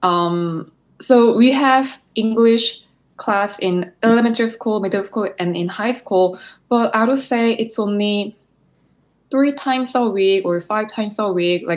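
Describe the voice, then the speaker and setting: A woman speaks with a Korean accent at a fairly slow pace. Her pitch sits fairly high. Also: ordinary pitch variation. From South Korea, Seoul. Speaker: physical therapist and graduate student. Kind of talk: interview.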